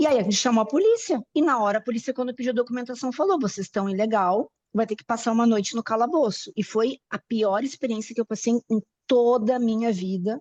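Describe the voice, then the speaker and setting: At a fairly quick pace, a woman with a fairly high pitch and ordinary pitch variation talks in a dry, close sound with no echo. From Brazil. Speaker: class participant. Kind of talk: personal testimony in online class. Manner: halting.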